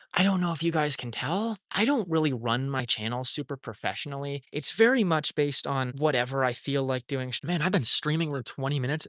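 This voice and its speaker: In a dry, close recording with no echo, a man speaks fairly quickly with hardly any pauses, using a fairly high voice and ordinary pitch variation. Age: adult. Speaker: streamer and animator. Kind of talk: casual live stream chat. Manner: rambling, hesitant.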